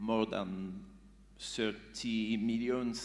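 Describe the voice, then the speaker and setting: A man speaks with a French accent, and audible room echo surrounds his voice. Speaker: beatbox group member. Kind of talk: onstage interview. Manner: halting.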